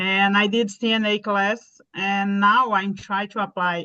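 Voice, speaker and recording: A woman speaks at medium pitch in a bright, sharp tone, her intonation fairly even. The background is quiet. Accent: Portuguese. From Brazil. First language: Portuguese. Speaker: nurse, ESOL student. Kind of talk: online Q&A session.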